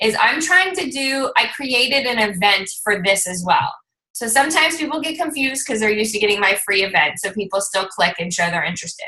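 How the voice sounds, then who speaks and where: A woman speaks loudly at a moderate pace, her pitch fairly high. Her tone is bright and sharp. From Lebanese heritage. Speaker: fitness team coach. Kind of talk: team conference call. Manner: talkative, excited.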